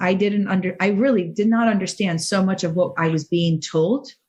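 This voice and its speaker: A somewhat breathy voice at a moderate pace with ordinary pitch variation. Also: woman. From outside the US. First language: not English. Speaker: cancer survivor and motivational speaker. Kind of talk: podcast interview. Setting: studio.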